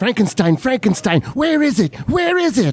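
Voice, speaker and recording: Putting on a character voice, a man goes extremely high in pitch with very wide swings at a moderate pace. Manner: creepy.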